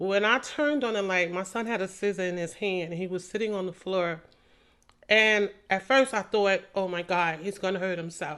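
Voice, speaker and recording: Against a quiet background, a woman with a normal speaking voice talks at a medium pitch and a moderate pace. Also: ordinary pitch variation. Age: 60s. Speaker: podcast host. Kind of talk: personal testimony monologue.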